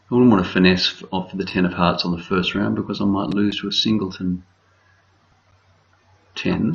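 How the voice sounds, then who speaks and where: A quiet, mumbling man with a fairly low pitch, in an Australian accent. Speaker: bridge director. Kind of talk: game commentary.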